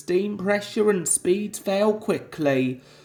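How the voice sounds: A natural reading voice is heard throughout the clip.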